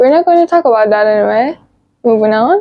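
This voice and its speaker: A woman with a non-native accent speaks in a high pitch. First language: not English. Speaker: vlogger. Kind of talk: personal vlog narration.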